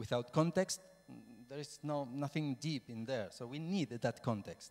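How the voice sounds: Speech comes at a moderate pace with a slightly mellow tone. There is vocal fry, and the pitch varies in an ordinary way. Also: man, medium pitch for a man.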